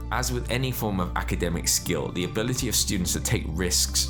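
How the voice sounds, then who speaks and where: With music playing behind him, a man talks at a fairly quick pace in a very deep, low voice. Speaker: educator, private school founder. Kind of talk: educational explainer talk.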